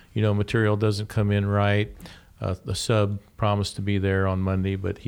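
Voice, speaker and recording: A man speaks at a moderate pace in a fairly low pitch with a plain, everyday voice, on a very clean recording with a silent background. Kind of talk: radio DJ patter, show intro and segment return. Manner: upbeat, polished, welcoming.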